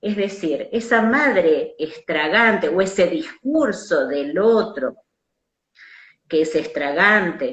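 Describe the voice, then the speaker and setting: Speaking in a Rioplatense accent, a woman takes a very slow pace. Her pitch swings very widely. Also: medium pitch for a woman. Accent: Argentine Rioplatense Spanish. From Argentina. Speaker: psychoanalyst. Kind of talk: conversational lecture on psychoanalytic theory.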